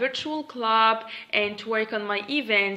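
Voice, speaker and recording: A woman speaks at a moderate pace. Her tone is bright and sharp, and her intonation is lively. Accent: Tunisian. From Tunisia (Monastir). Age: 20s. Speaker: English teacher. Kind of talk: self-introduction video. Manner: hesitant.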